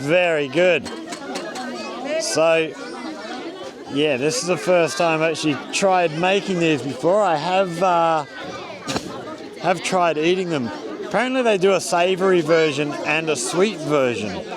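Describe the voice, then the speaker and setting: A man speaks at a fairly slow pace and high pitch, with long, frequent pauses, ordinary pitch variation and very even loudness. Audible room echo and crowd noise fill the background. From Australia. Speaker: vlogger living abroad. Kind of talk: casual vlog narration.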